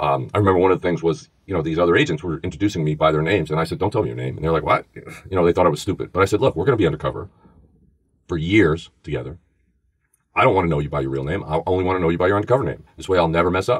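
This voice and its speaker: Delivered at a very fast pace in a New York accent, the voice shows vocal fry and ordinary pitch variation. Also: man, very deep, low pitch for a man. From New York, the Bronx. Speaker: former FBI agent and podcast host. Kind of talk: podcast interview, storytelling.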